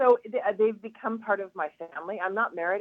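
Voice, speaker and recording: A woman talks in a plain, everyday voice. She keeps a fairly quick pace with ordinary pitch variation. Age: 60s. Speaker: hairdresser. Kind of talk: radio interview.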